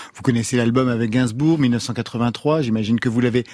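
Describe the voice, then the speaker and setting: Recorded very cleanly against a silent background with a dry, close sound and no echo, a man has an unremarkable speaking voice at a medium pitch and a moderate pace. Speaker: radio host. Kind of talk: casual chat. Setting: studio.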